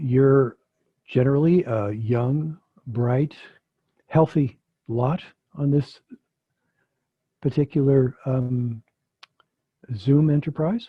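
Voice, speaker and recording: A man with an American accent speaks very slowly in a somewhat breathy, fairly high voice, leaving long, frequent pauses. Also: ordinary pitch variation. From US Midwest, Chicago. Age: 70s. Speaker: physician and theologian, guest speaker. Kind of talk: online talk with discussion. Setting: video call.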